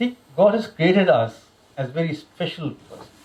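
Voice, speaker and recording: A man speaks with an Indian accent at a fairly slow pace. His pitch is high. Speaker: religious lecturer. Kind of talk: religious lecture.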